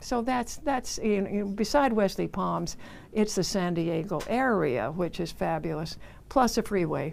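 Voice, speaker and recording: With an American accent, a woman speaks at a fairly slow pace and medium pitch, her intonation lively and touched with vocal fry. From Southern California. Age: 80s+. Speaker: retirement community resident. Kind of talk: interview conversation.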